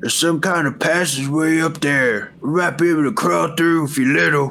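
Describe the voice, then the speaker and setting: Over light background noise, a man uses a put-on character voice at a fairly high pitch, moving at a moderate pace with fairly even intonation. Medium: actual play. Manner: blunt, gruff.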